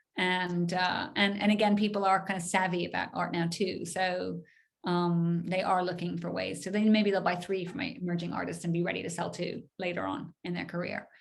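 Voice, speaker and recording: Fairly low-pitched female speech with hardly any pauses. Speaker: gallery director, art professional. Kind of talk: webinar Q&A. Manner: fast; animated.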